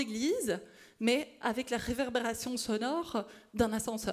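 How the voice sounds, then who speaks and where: A woman speaks in a high voice. She is loud. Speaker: speech-language pathology researcher. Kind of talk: conference talk. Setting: stage with audience.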